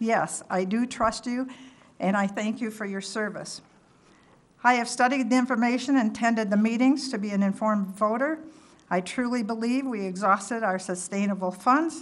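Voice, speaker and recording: A woman at a fairly high pitch and moderate pace, ordinary pitch variation, with audible room echo. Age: 70s. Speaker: resident giving public comment. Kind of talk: prepared public comment at council meeting. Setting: town council meeting. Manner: formal.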